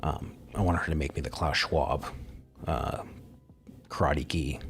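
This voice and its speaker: A quiet male voice at a moderate pace over background music. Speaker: live streamer. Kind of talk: casual solo live stream monologue. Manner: quiet, holding back volume.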